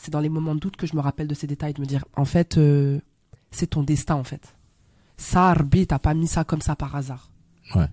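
A woman's very deep, low voice with a dark, mellow tone, a fairly quick pace broken by long, frequent pauses, fairly even intonation and a dry, close sound with no echo. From Belgium. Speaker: actress. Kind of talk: casual interview. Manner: hesitant, many fillers.

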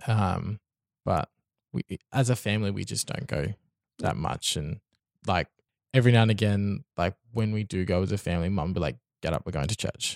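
Speaking in an Australian accent at a moderate pace, a man takes long, frequent pauses. The sound is dry and close with no echo. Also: fairly low pitch for a man, lively intonation. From Brisbane, Australia. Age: young. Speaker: podcast guest. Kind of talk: casual interview. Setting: studio.

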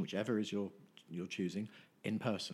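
A man speaks with an English accent. His pitch sits fairly low. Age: 50s. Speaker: nutritionist. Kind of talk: casual chat. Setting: at his home.

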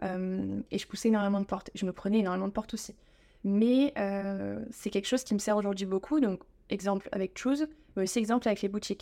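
The voice rushes along at a very fast pace with a dark, mellow tone, broken by long, frequent pauses. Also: woman. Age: 20s. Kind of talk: interview.

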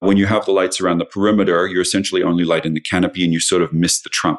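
In a dry, close recording with no echo and a quiet background, a man with an Australian accent speaks in a very deep, low pitch with fairly even intonation. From Australia (Sydney). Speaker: lighting designer. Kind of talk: casual interview.

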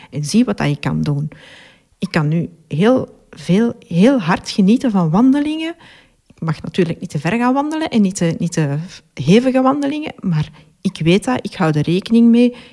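A woman with a dark, mellow tone sounds somewhat breathy, with very wide pitch swings and big swings in loudness. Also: medium pitch for a woman, moderate pace. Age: 40s. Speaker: patient with chronic illness. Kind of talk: testimony. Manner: hesitant, many fillers.

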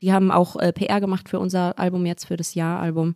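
In a very clean recording with a silent background, a woman speaks at a moderate pace with a dry, close sound and no echo. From Ruhr area, Essen. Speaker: rapper and voice actor. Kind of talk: casual chat. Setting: studio, at a living-room table.

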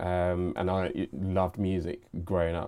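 A man's dark, mellow tone with a London accent. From southeast London. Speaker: creative leader and media entrepreneur. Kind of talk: casual interview chat.

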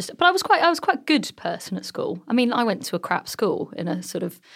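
Over a silent background in a very clean recording, a woman with an English accent talks at a very fast pace. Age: 30s. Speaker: entrepreneur. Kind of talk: interview.

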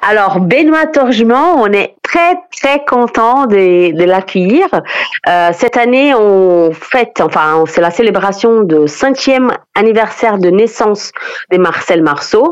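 A woman's fairly high voice at a very slow pace, with very wide pitch swings and very even loudness. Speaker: festival artistic director. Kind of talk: radio interview. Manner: hesitant, with frequent fillers.

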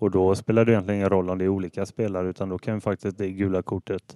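A man's very deep, low voice with a dark, mellow tone, monotone, flat intonation and a fairly quick pace, in a dry, close sound with no echo and a very clean recording with a silent background. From Sweden, Ale municipality near Gothenburg. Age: 30s. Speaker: football referee. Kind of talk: casual interview.

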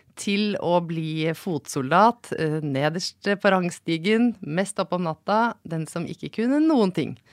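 Speaking very slowly with hardly any pauses, a woman with a fairly low pitch and lively intonation is heard in a very clean recording with a silent background and a dry, close sound with no echo. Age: 40s. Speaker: senior physician. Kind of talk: casual chat. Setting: studio.

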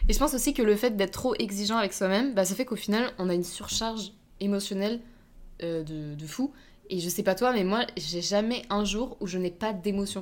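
Here is a plain, everyday voice from a woman at a medium pitch. She talks at a fairly quick pace with ordinary pitch variation. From France. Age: 20s. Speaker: podcast guest, host's best friend. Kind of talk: casual chat.

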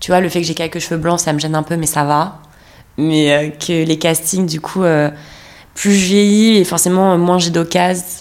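At a moderate pace, a woman speaks in a fairly low, monotone voice with flat intonation. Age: 30s. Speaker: theatre actress. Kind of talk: casual chat.

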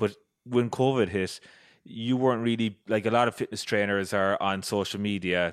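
Fairly even intonation, in a Cork accent. The background is quiet. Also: man, fairly low pitch for a man, moderate pace. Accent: Irish (Cork). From Ireland, County Cork. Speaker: podcast host. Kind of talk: scripted narration; casual interview chat.

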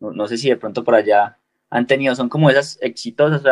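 In a dry, close recording with no echo, a man with an unremarkable speaking voice talks at a fairly quick pace with fairly even intonation. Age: 20s. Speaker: skateboarder. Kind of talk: interview.

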